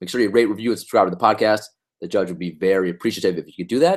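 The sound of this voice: A man uses a hoarse, put-on character voice with a fairly low pitch. He goes at a very fast pace with big swings in loudness.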